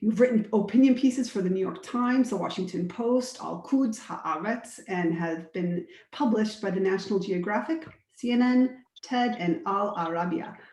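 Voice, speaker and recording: At a moderate pace, a woman with a fairly high pitch uses lively intonation in an unremarkable speaking voice. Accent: American. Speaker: nonprofit director and panel moderator. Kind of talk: panel moderation, introducing guests. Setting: Zoom webinar. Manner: casual, with frequent fillers.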